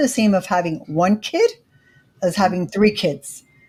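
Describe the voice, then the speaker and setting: A somewhat breathy woman talks fairly slowly at a medium pitch. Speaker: credit educator and YouTuber. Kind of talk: interview.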